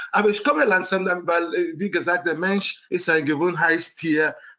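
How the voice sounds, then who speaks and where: Noticeable background noise runs under this recording. Over it, a man talks in a high pitch. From Nigeria. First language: English and Igbo (speaking German). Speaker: city council candidate, scientist. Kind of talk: interview.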